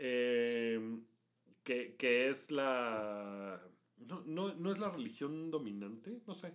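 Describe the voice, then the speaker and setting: Audible room echo surrounds a man speaking at a very slow pace with lively intonation. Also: medium pitch for a man. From Mexico. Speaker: travel podcast co-host. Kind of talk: casual chat.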